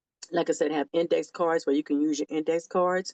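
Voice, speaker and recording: A woman's plain, everyday voice, fairly low in pitch, at a moderate pace, with a dry, close sound and no echo. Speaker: educator giving academic tips. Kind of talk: instructional monologue to camera.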